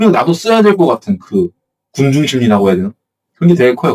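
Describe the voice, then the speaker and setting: A man speaks at a high pitch with a dry, close sound and no echo. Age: 20s. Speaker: blogging coach YouTuber. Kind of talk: casual talk to camera. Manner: halting, self-correcting.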